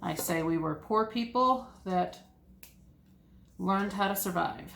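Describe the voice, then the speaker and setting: Audible room echo surrounds a woman speaking at medium pitch. She talks at a fairly slow pace with ordinary pitch variation. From US South, east Tennessee (Appalachia). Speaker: homesteading YouTuber. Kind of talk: ASMR casual monologue. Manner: soft-spoken.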